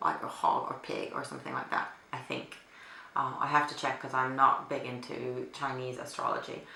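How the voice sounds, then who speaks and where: With a Finnish accent, a woman talks at a moderate pace amid noticeable background noise and audible room echo. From Finland. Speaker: beauty vlogger. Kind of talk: casual chat. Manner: hesitant with fillers.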